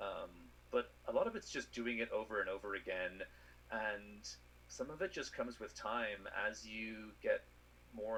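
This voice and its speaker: With an Irish accent, a man speaks at a fairly slow pace, leaving long, frequent pauses over noticeable background noise. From Ireland. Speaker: space scientist. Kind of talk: interview answer.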